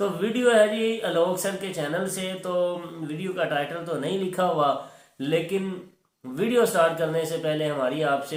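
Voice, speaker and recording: A man talking at a fairly slow pace, with audible room echo. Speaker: reaction video host. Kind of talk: casual chat.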